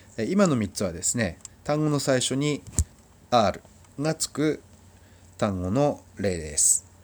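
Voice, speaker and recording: A man speaks at a medium pitch with very wide pitch swings. His pace is very slow, broken by long, frequent pauses. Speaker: Spanish language teacher. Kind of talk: language lesson tutorial. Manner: slow, repeating words for practice.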